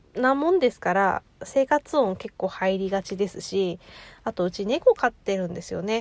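Very slowly, a woman talks at a medium pitch, the sound dry and close with no echo. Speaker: podcaster. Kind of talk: casual monologue. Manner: often stumbles over words.

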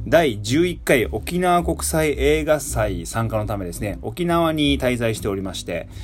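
A man speaks in a relaxed tone, fairly low for a man, with very wide pitch swings and hardly any pauses. Music plays in the background amid audible room echo. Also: fairly slow pace. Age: 30s. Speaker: musician and radio host. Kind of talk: casual radio monologue. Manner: relaxed, many fillers.

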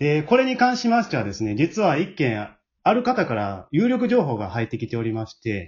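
A man talks at a fairly quick pace with a fairly high pitch and a slightly husky edge. His pitch swings very widely.

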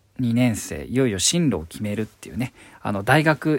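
With an ordinary speaking voice, a man speaks at a medium pitch and moderate pace with lively intonation. The recording is very clean, with a silent background. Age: 30s. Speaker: stage actor and voice actor. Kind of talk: solo podcast monologue.

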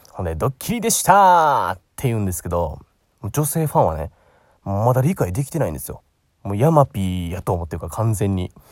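A man with a Kansai accent speaks at a fairly low pitch, swinging very widely in pitch. The recording is very clean, with a silent background. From Osaka, Japan. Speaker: aspiring narrator, podcast host. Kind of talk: solo casual monologue. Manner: chatty, filler-heavy.

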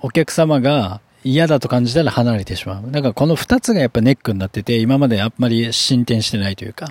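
The speaker has a plain, everyday voice with ordinary pitch variation and a fairly quick pace, recorded with a dry, close sound with no echo. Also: man. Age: 30s. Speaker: hairdresser and podcast host. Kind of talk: solo business talk podcast. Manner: casual with many filler words.

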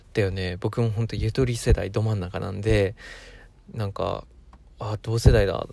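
A man's somewhat breathy voice, fairly low in pitch, with a dark, mellow tone. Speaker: solo podcaster. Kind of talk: casual monologue. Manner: slightly faster than usual, forced; poor enunciation.

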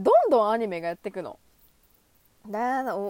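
The sound is dry and close with no echo as a woman speaks in an animated tone at a fairly high pitch. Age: 20s. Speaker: solo podcaster, anime fan. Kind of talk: casual monologue.

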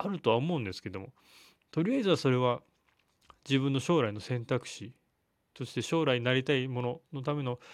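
A man talks at a fairly quick pace, his pitch varying in an ordinary way. He takes long, frequent pauses. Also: medium pitch for a man, very clean recording, silent background. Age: 30s. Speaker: physical therapist, solo podcaster. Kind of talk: solo monologue. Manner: hesitant, many fillers.

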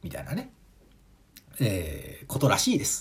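A man speaks with vocal fry. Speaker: comedian and podcaster. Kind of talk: solo monologue podcast.

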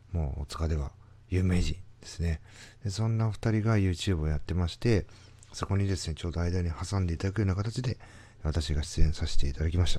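Speaking at a fairly quick pace, a man has a very deep, low pitch and a dark, mellow tone. His somewhat breathy voice shows ordinary pitch variation on a very clean recording with a silent background. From Tokyo, Toshima (Minami-Otsuka). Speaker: company president, podcaster. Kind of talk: solo monologue podcast. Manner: hesitant, many fillers.

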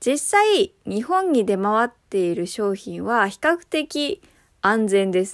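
A woman speaks at a very slow pace, her fairly high pitch moving in very wide swings. The recording is very clean and silent in the background, with a dry, close sound and no echo. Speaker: spice curry expert podcast host. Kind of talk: casual solo talk answering listener questions.

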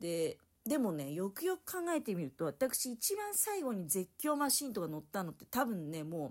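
This woman's pitch rises and falls very widely. She keeps a moderate pace. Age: 50s. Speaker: solo podcaster. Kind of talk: casual solo monologue.

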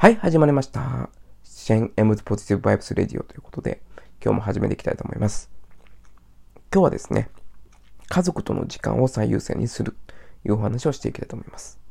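Talking at a very fast pace, a man breaks his speech with long, frequent pauses and shows big swings in loudness. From Japan, Osaka. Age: 30s. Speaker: podcaster. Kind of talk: solo casual monologue.

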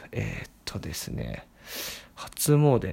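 The recording is very clean and the background silent. The voice belongs to a man. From Tokyo. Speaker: podcast host. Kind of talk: solo monologue. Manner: many fillers, hesitant.

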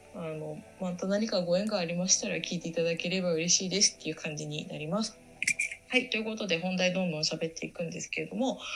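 A woman's fairly low voice at a very fast pace, with ordinary pitch variation and music in the background. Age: 30s. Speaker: podcaster, tokusatsu fan. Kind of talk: casual solo talk. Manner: halting, many fillers.

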